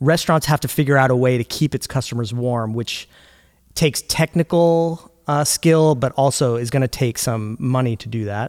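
Recorded very cleanly with a silent background and a dry, close sound with no echo, a man in a normal speaking voice talks at a moderate pace with medium pitch and ordinary pitch variation. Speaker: podcast host. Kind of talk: casual discussion with scripted intro. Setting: makeshift studio.

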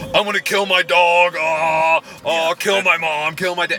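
Over clear music in the background, a man puts on a character voice with high pitch, monotone, flat intonation and a moderate pace. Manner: aggressive, screaming.

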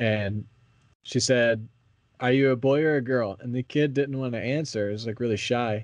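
A plain, everyday voice from a man, at a moderate pace with fairly even intonation. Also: medium pitch for a man, quiet background. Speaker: podcast host. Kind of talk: casual chat. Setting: podcast recording.

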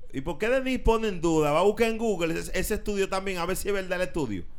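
A man's voice with lively intonation. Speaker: radio host. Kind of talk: casual chat.

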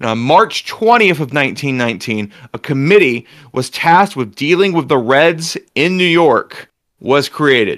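In a normal speaking voice, a man talks fairly slowly at a fairly high pitch with lively intonation. The recording is very clean, with a silent background. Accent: American. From US South. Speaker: podcast host. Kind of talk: reading an essay aloud; casual chat.

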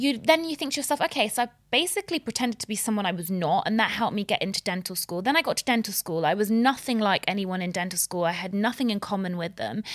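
A woman talks very fast, with hardly any pauses and lively intonation at a medium pitch. The sound is dry and close, with no echo. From Middle East. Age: 30s. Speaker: dentist. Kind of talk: casual chat.

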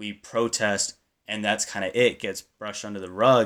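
Speaking at a moderate pace with fairly even intonation, a man with an unremarkable speaking voice sits fairly low in pitch on a very clean recording with a silent background. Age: young. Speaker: university student. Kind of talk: casual chat.

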